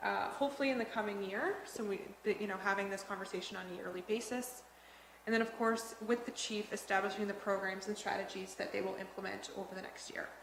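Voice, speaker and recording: Over noticeable background noise and audible room echo, a woman at medium pitch talks at a very fast pace with fairly even intonation. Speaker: police board trainer. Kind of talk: training presentation.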